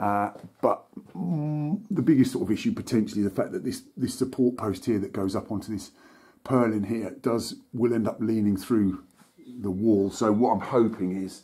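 Dark and mellow in tone, a man speaks at a moderate pace with ordinary pitch variation. The background is quiet. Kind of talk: tutorial. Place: home room. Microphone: phone near.

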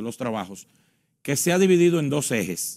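The background stays quiet. A man speaks fairly quickly over it. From Dominican Republic. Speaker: elections official; election guest. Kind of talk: interview. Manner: formal. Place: studio. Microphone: lapel.

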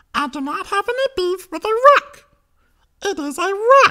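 A man's extremely high-pitched voice at a fairly slow pace. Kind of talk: mock press statement. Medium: voice reel.

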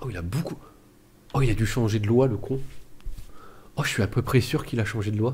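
Medium-pitched, somewhat breathy male speech broken by long, frequent pauses. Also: ordinary pitch variation, fairly quick pace. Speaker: gaming youtuber. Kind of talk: let's play commentary. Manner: halting.

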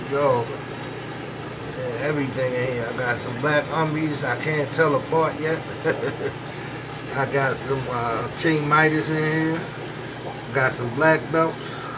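Long, frequent pauses from a man at a fairly slow pace, over noticeable background noise. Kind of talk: casual vlog chat. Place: home room. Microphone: phone near.

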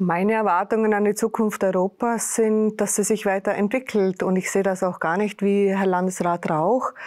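Against a quiet background, a woman talks at a moderate pace with monotone, flat intonation, very even loudness, and hardly any pauses. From Austria, Vorarlberg. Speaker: deputy mayor. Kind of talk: panel discussion. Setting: studio. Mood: friendly, calmly assertive. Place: studio. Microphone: lapel.

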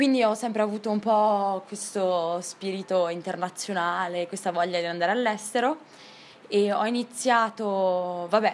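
A woman speaks at a fairly slow pace. Her intonation is fairly even. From northern Italy, Riva del Garda (Trentino); northern Italy. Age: 20s. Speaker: university student; interviewee. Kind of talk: interview. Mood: cheerful, relaxed. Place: garden.

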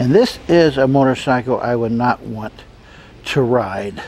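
Light background noise over a dry sound with no echo. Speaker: travel vlogger. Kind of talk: casual vlog chat. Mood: relaxed, amused. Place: street. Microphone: phone near.

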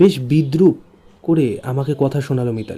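The speaker is reading aloud in a natural voice. Pitch varies in an ordinary way.

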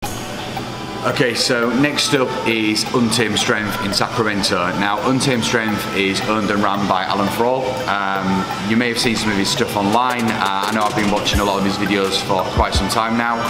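With clear music playing in the background, a man speaks at a moderate pace. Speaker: travelling strength athlete vlogger. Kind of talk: casual vlog chat. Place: home room.

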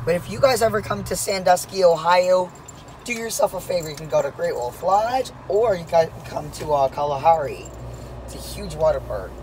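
The pace is moderate, and the sound is dry with no echo. Light background noise sits underneath. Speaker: passenger vlogger. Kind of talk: casual vlog chat. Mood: excited. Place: car. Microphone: phone near.

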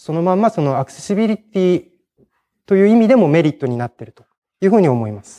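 A man's dark, mellow tone against a quiet background. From Hiroshima, Japan; Japan. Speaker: conference speaker, programmer; conference speaker. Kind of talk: technical conference talk; conference talk. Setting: stage with audience. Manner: hesitant, many fillers. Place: hall. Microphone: podium.

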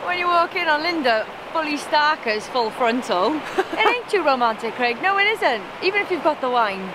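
At a moderate pace, a woman speaks in a raised, projected voice. The sound is dry with no echo, and background noise is noticeable. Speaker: travel vlogger. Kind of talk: casual vlog chat. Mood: playful, joking banter. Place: open country. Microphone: phone near.

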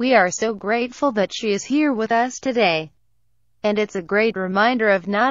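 This woman has an ordinary speaking voice, pitched fairly high. She talks at a moderate pace with ordinary pitch variation. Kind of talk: news article narration.

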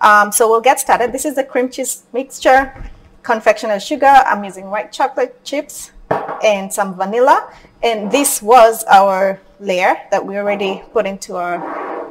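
Her loudness swinging widely, a woman speaks at a fairly slow pace. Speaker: cooking instructor. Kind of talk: tutorial. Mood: friendly, calm. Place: kitchen. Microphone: camera far.

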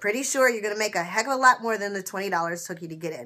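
A woman speaks with an energetic, bright, sharp tone and lively intonation. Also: quiet background. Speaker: online seller and vlogger. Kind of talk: casual, direct address to viewers. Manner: energetic, chatty. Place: home room. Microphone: webcam.

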